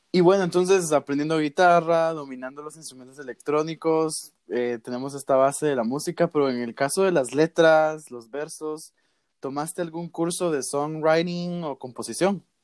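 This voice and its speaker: Speaking in an ordinary speaking voice, a man keeps a moderate pace with hardly any pauses, his pitch fairly high with ordinary variation and his loudness swinging a lot, the sound dry and close with no echo. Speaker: podcast host. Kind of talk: casual interview. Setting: remote call.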